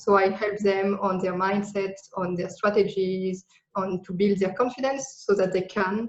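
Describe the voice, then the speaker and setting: A woman speaks at medium pitch in a French accent. Her pace is fairly slow. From France. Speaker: digital nomad business coach. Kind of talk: podcast interview.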